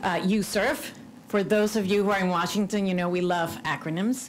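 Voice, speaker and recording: In a room with audible echo, a woman with a Cuban accent speaks at a moderate pace and medium pitch. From Cuban American. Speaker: religious freedom commissioner. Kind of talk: conference speech.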